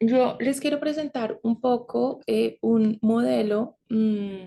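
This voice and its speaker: A woman's fairly high, dark and mellow voice, very slow, with very even loudness and ordinary pitch variation. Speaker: lecturer in neuropsychology. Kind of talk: lecture. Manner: halting with fillers.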